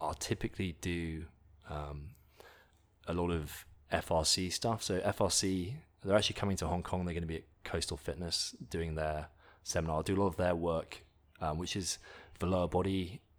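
A man with an English accent talks at a moderate pace, his pitch very deep and low and his intonation fairly even, with long, frequent pauses. The recording is very clean and the background silent. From England. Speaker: nutrition company founder, fitness enthusiast. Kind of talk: interview chat.

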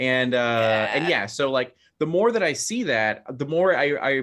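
Against a quiet background, a man with an unremarkable speaking voice talks at medium pitch with lively intonation. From Phoenix, Arizona, US (Mexican American). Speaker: gaming content creator and game designer. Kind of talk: casual interview.

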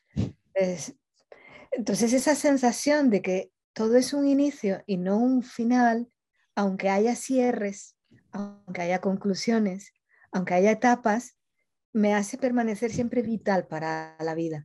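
A woman with a dark, mellow tone and fairly high pitch talks at a very slow pace, with ordinary pitch variation. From Colombia. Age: 50s. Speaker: journalist and coach. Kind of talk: interview.

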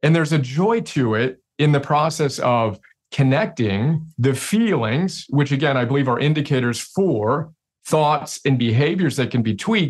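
Somewhat breathy, a man with a fairly high pitch speaks at a moderate pace, keeping very even loudness and lively intonation. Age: 40s. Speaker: CEO and self-help author. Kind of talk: interview conversation.

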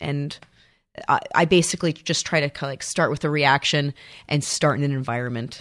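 This woman's pitch is very deep and low, with ordinary variation, and she speaks at a fairly quick pace. The recording is very clean, with a silent background. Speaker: improv theater artistic director and teacher. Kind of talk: casual interview chat.

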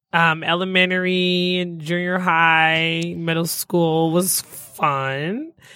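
Speaking very slowly in an American accent, a woman uses a fairly low pitch, a bright, sharp tone and monotone, flat intonation in a very clean recording with a silent background. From Detroit. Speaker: marketing executive. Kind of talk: casual interview. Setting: studio.

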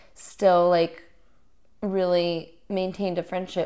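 Speaking at a fairly slow pace in an American accent, a woman has a dark, mellow tone on a very clean recording with a silent background. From US South, Little Rock, Arkansas. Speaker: musician. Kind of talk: casual interview.

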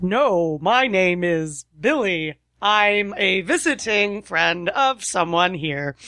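At a very slow pace, a put-on character voice that sounds female speaks at a medium pitch. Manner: different silly character voice.

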